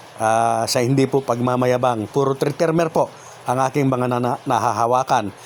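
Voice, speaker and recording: Over noticeable background noise, a man with a medium pitch talks at a moderate pace in a fairly even intonation and very even loudness. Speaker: YouTube vlogger giving barangay election tips. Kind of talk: vlog monologue. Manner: frequent filler pauses (uh); polite, formal.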